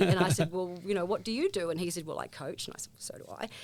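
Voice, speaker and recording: A woman with a New Zealand accent speaks with fairly even intonation. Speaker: former sports coach and volunteer. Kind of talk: interview. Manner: hesitant, many fillers.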